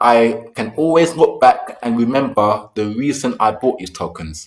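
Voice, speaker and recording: A man speaks at medium pitch in a normal speaking voice. His pitch varies in an ordinary way at a moderate pace. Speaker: crypto investing vlogger. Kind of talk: casual screen-share explainer.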